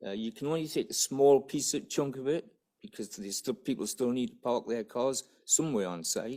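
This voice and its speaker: A man's medium-pitched, dark and mellow voice with a Geordie accent, fairly quick, with very wide pitch swings and big swings in loudness, on a very clean recording with a silent background. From northern England, Newcastle area. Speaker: business development officer. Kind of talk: conference presentation. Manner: halting.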